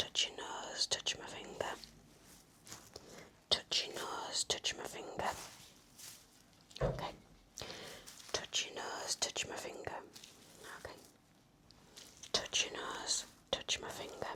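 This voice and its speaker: Whispering at a very slow pace with long, frequent pauses, a woman's voice swings widely in loudness against noticeable background noise. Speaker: ASMR nurse roleplay performer. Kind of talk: ASMR medical roleplay, nurse talking to the listener. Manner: soft-spoken, gentle, reassuring.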